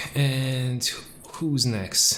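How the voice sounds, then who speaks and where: In a room with audible echo and noticeable background noise, a man with a strong Hungarian accent speaks very slowly at a medium pitch. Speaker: video game streamer. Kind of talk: live gameplay stream chat. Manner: casual, hesitant with fillers.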